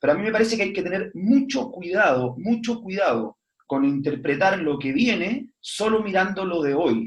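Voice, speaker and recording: This man speaks at a high pitch with very wide swings in pitch. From Chile. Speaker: foundation executive director. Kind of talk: online panel talk. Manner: fast; animated, repetitive stumbling.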